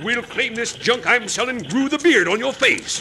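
Over faint background noise, a man performs a put-on character voice at an extremely high pitch, bright and sharp in tone with lively intonation. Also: moderate pace.

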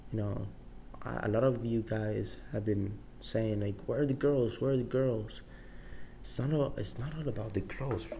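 Speaking in a Salvadoran accent, a man keeps a medium pitch and a moderate pace with ordinary pitch variation. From El Salvador. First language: Spanish. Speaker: podcast host. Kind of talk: solo casual monologue. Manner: casual, rambling with frequent swearing.

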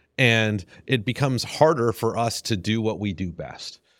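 An unremarkable speaking voice with an American accent and ordinary pitch variation. The recording is very clean, with a silent background and a dry, close sound with no echo. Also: man. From US South. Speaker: venture capitalist. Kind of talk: interview.

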